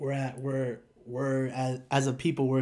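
The pace of the speech is moderate. It comes in an American accent. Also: man. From Northern Virginia, US. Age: 20s. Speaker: former youth leader. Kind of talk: casual chat.

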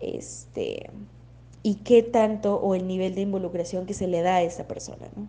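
A woman's medium-pitched voice with vocal fry, a dark, mellow tone, and fairly even intonation. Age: 20s. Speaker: psychologist. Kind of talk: educational talk. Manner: hesitant, many fillers.

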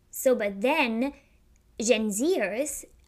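A woman's high-pitched voice in a German accent, with ordinary pitch variation, on a very clean recording with a silent background. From Germany. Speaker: podcast host. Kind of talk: solo podcast monologue.

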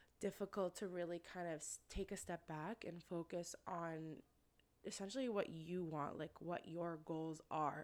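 With a Canadian accent, a woman speaks at a fairly slow pace in a plain, everyday voice with fairly even intonation. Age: 20s. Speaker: personal trainer and podcast host. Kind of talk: solo podcast monologue. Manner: casual, many filler words.

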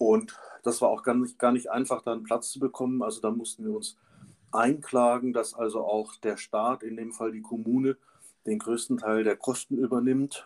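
A man's medium-pitched voice stays monotone and flat at a moderate speed. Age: 50s. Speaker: pathologist and parent advocate. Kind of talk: interview.

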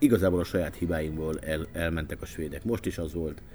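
A man talks at a fairly quick pace in a very deep, low pitch. His voice is somewhat breathy. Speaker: radio sports journalist. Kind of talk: casual chat.

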